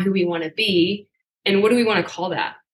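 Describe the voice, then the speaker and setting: A woman with a plain, everyday voice and fairly even intonation. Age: 30s. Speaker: fitness company founder. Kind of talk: casual chat.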